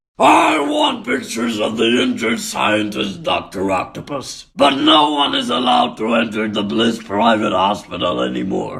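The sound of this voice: Using a cartoonish character voice at a medium pitch, a man talks at a moderate pace with hardly any pauses.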